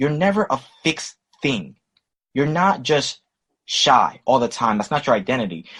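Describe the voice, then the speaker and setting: A man with a fairly high pitch and vocal fry speaks at a moderate pace with long, frequent pauses. His tone is animated, with very wide pitch swings. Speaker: relationship coach and speaker. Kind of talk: podcast interview.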